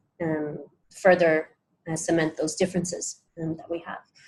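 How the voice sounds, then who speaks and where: Fairly low in pitch, a woman with an Irish accent speaks at a moderate pace. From Ireland. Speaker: sociolinguistics researcher. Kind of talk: pitch presentation. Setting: hackathon room with small group. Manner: many filler words (um, uh).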